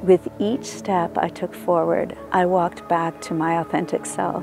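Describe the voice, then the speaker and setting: A woman's fairly low voice at a moderate pace, with ordinary pitch variation and music in the background. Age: 60s. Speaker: barefoot walking advocate. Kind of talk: interview answer.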